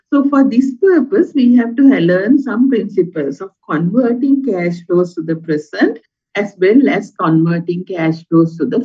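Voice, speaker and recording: A woman's somewhat breathy voice at a moderate pace, with lively intonation. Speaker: university lecturer. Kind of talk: lecture.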